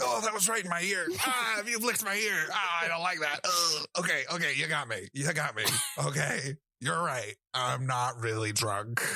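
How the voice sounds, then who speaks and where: Using a put-on character voice, a man speaks at a moderate pace in a fairly high pitch with very wide pitch swings and very even loudness. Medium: actual play. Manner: flustered, stammering.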